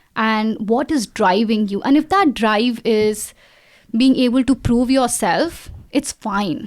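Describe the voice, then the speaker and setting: A woman's fairly high voice at a very slow pace, with ordinary pitch variation. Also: very clean recording, silent background. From India, Delhi. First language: not English (Indian language). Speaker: AI specialist. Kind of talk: interview.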